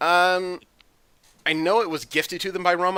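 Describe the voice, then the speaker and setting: In a very clean recording with a silent background, a man speaks at a fairly high pitch in a bright, sharp tone. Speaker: podcast host. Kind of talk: casual panel discussion about comics. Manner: fast-talking.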